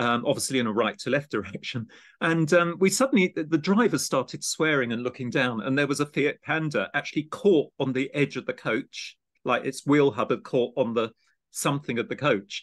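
A man talks at a fairly quick pace with a southeast English accent. His pitch is fairly high, and the background is quiet. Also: lively intonation. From Kent, England (Gravesend). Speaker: podcast host and art education program director. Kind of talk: casual interview chat.

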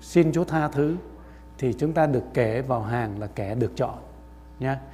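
At medium pitch, a man's somewhat breathy voice moves fairly slowly with lively intonation on a very clean recording with a silent background. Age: 60s. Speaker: pastor. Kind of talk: sermon. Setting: church.

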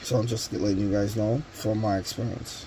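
Over light background noise, a man talks with fairly even intonation. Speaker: tool reviewer. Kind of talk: tutorial. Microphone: phone near.

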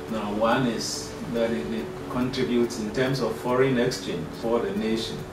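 A man's voice with audible room echo and music in the background. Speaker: university lecturer. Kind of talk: interview answer. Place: office.

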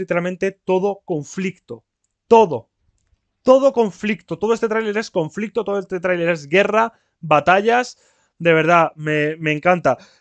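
A man's high-pitched voice with an animated tone, ordinary pitch variation and a moderate pace, over a quiet background with dry sound and no echo. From Spain. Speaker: YouTuber. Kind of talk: video reaction commentary. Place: home room. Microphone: laptop recording; headset.

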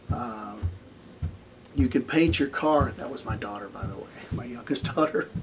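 A man with an American accent at a moderate pace, ordinary pitch variation, long and frequent pauses, big swings in loudness, and noticeable background noise. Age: 40s. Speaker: gaming YouTuber; gaming hobby vlogger. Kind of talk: solo vlog monologue; casual vlog chat. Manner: hesitant, many filler words. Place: home room. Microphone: camera far.

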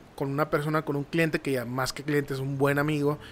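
A man speaks here. He has a northern Mexican accent. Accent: northern Mexican Spanish (Sonora). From Nogales, Sonora, Mexico; Sonora, Mexico. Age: 30s. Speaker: marketing professional; podcast guest. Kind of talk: casual interview. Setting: studio. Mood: calm, reflective storytelling. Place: studio. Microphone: studio mic.

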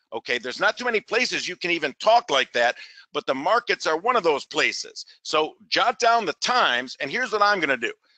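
A man with a high pitch and a bright, sharp tone speaks in a raised, projected voice at a fairly quick pace. His pitch swings very widely, and the sound is dry and close with no echo. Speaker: forex trading educator. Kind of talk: webinar sales pitch and tutorial. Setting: live webinar. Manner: direct, emphatic with frequent fillers.

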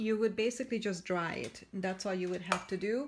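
A woman's somewhat breathy voice comes through over light background noise. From Canada. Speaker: craft demonstrator. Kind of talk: tutorial. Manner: hesitant, many fillers. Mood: warm, enthusiastic.

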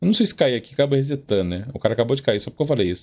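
A man's voice swings very widely in pitch. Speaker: gaming youtuber. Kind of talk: gameplay tutorial. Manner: casual, animated.

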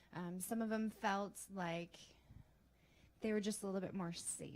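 Soft-spoken and somewhat breathy, a woman speaks at a moderate pace with fairly even intonation. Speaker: teacher. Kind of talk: testimony.

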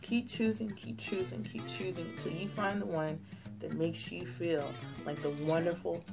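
Someone soft-spoken talks over clear music in the background. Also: woman. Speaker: vlogger. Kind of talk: pep talk, casual advice to camera. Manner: quiet, soft-spoken. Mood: warm, encouraging, emphatic. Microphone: phone near.

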